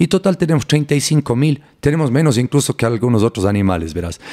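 A man with a plain, everyday voice, fairly high in pitch and lively in intonation, in a dry, close sound with no echo on a very clean recording with a silent background. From Ecuador, Cuenca. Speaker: neuroscientist. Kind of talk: interview.

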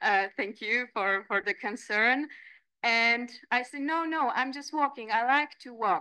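A woman with a high pitch and a bright, sharp tone speaks at a fairly slow pace with ordinary pitch variation and big swings in loudness, over a quiet background. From Poland. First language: Polish. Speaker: landscape architect and lecturer; lecturer. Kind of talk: lecture. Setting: seminar room. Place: meeting room. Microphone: podium.

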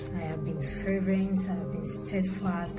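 A woman's voice over loud background music. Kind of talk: religious testimony. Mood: grateful, earnest. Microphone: phone near.

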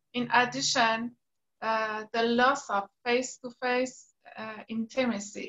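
A woman talks at a very slow pace, the background around her quiet. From Iran. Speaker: artist and university instructor; university instructor. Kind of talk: online panel discussion. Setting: video call. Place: home room. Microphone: video call.

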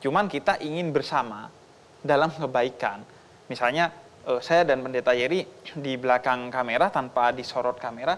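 The man's voice sits at a medium pitch with ordinary pitch variation. He speaks at a moderate pace. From Indonesia. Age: young. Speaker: Islamic preacher. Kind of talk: talk show conversation. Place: studio. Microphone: lapel.

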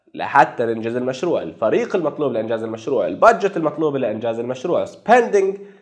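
Talking at a fairly quick pace with hardly any pauses, a man uses a fairly high pitch and very wide pitch swings. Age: 40s. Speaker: project management professional / YouTuber; YouTuber. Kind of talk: casual storytelling monologue. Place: home room. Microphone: lapel.

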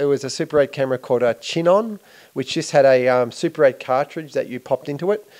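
A speaker with an Australian accent talks at a very fast pace with lively intonation against a quiet background. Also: man. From Australia, Melbourne. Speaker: filmmaker. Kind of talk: interview. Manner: hesitant, many fillers. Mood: relaxed, amused reminiscing. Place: home room. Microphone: handheld.

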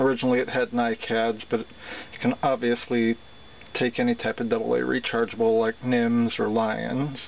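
In a flat monotone and at very even loudness, a man speaks over light background noise. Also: moderate pace. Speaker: seller demonstrating an item. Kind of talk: product demonstration. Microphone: phone near.

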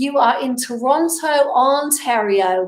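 With audible room echo around her, a woman speaks with ordinary pitch variation.

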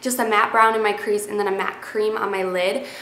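A woman speaks with a fairly high pitch and a bright, sharp tone. Room echo is audible.

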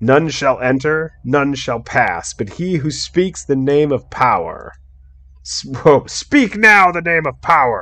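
A put-on character voice at a low-to-middle pitch. It moves at a fairly slow pace over a quiet background. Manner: commanding.

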